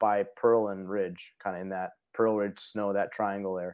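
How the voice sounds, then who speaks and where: A man with an American accent and an unremarkable speaking voice, at a moderate pace with fairly even intonation. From Parma, Cleveland, Ohio. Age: 40s. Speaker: Air Force veteran and foundation vice president. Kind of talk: interview conversation.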